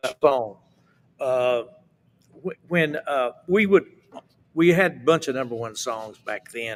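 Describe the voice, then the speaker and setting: With music in the background, a man with an American accent speaks at a moderate pace. His pitch is medium, with ordinary variation. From Appalachian Mountains, US. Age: 70s. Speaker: southern gospel singer. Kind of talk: casual interview chat.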